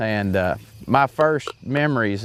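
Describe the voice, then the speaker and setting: This man has an Arkansas accent. His medium-pitched voice shows ordinary pitch variation. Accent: Southern US (Arkansas). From US South, central Arkansas. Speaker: hunting show host. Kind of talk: casual interview storytelling.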